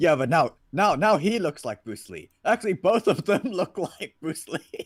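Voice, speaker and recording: A man speaks at a fairly slow pace in a high voice, his pitch swinging very widely. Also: big swings in loudness, dry, close sound with no echo. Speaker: livestream comic reader. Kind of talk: casual chat.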